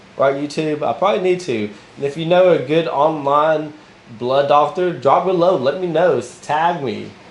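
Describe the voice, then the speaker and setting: A man's fairly high-pitched voice with ordinary pitch variation, against noticeable background noise. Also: moderate pace. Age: 30s. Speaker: motivational vlogger. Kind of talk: unscripted motivational monologue. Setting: recording to camera. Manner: animated.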